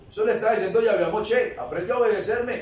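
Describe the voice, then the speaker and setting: Amid noticeable background noise and audible room echo, a man with an extremely high pitch talks at a fairly quick pace in an animated tone. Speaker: preacher. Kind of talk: sermon.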